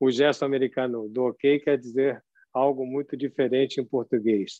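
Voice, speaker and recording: Medium in pitch, a man speaks at a moderate pace. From São Paulo, Brazil. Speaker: lecturer. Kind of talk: lecture. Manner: animated.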